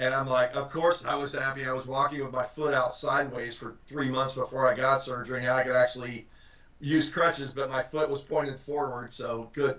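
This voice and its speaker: Noticeable background noise sits behind a man speaking with monotone, flat intonation. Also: medium pitch for a man, fairly quick pace. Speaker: recruiter, career guest speaker. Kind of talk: guest talk on job search. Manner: fast; casual, filler-heavy.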